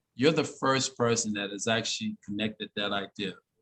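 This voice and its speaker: In a dry, close sound with no echo, a man with a plain, everyday voice and a medium pitch talks at a moderate pace. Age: 60s. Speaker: inventor and design teacher. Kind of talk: interview. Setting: video call.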